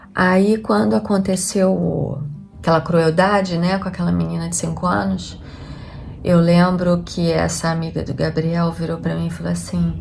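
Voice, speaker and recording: Someone with a Rio de Janeiro accent speaks at a moderate pace over music in the background. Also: woman. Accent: Carioca Brazilian Portuguese. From Rio de Janeiro, Brazil. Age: 40s. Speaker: homemaker and vlogger. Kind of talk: casual talk to camera.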